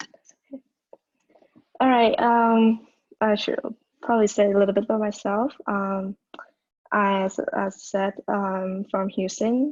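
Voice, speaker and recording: Speaking with a Vietnamese accent, a woman at medium pitch goes at a fairly slow pace with fairly even intonation and long, frequent pauses. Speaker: college student, storyteller. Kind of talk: casual self-introduction on video call. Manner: halting, many fillers.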